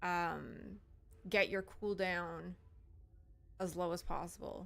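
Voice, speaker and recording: A woman mumbles at a very slow pace. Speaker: gaming streamer. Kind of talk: live stream gameplay chat. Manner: mumbling.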